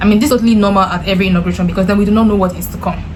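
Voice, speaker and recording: With audible room echo and noticeable background noise, a woman speaks at a medium pitch with ordinary pitch variation. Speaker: YouTuber, commentator. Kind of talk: casual vlog commentary.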